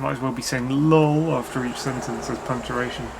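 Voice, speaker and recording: A man speaks quietly at a medium pitch and a moderate pace, with ordinary pitch variation. Noticeable background noise and audible room echo surround him. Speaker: vlogger. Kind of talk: casual vlog monologue. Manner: quiet, words blurring together.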